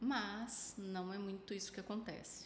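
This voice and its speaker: A woman's somewhat breathy voice sits at medium pitch with fairly even intonation. Audible room echo surrounds her. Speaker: psychologist. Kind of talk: casual chat.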